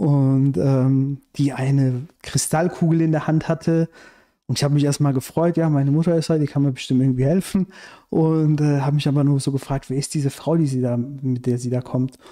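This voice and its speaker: Against a quiet background, a man speaks at a moderate pace with a fairly high pitch, a dark, mellow tone, very even loudness and fairly even intonation. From Iran, raised in Germany from childhood. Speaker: screenwriter and activist; podcast guest. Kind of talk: casual interview conversation. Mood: calm narrating a dream. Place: home room. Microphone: studio mic.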